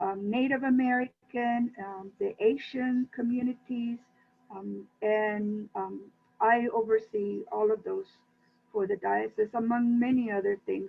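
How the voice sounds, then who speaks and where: A woman with a normal speaking voice, fairly high in pitch, ordinary pitch variation and a fairly slow pace. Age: 60s. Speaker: church administrator. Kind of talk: interview.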